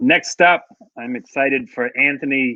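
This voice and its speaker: A man with a Massachusetts accent. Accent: Fall River Massachusetts. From Fall River, Massachusetts. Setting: podcast or interview host.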